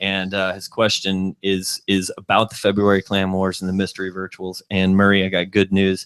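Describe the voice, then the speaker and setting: A man with a Texas accent speaks in a very deep, low, monotone voice. He barely pauses. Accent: Texas drawl. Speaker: video podcast host. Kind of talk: casual chat.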